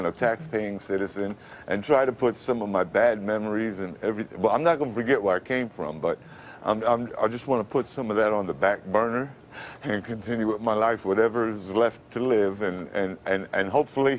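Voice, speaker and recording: At a fairly quick pace, a man with a plain, everyday voice speaks in a fairly low pitch with ordinary pitch variation. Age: 50s. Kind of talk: interview answer.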